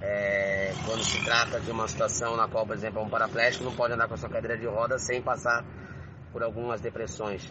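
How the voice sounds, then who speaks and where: Against noticeable background noise, a man of medium pitch talks at a fairly quick pace in a monotone, flat intonation. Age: 40s. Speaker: blind musician interviewed. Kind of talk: interview answers. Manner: halting, with repetitions.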